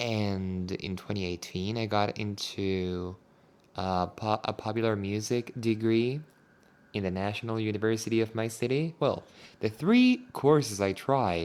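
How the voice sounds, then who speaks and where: In a Spanish accent, a man at medium pitch speaks fairly slowly with ordinary pitch variation. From Argentina, La Plata, Buenos Aires province. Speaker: English teacher. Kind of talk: casual monologue podcast.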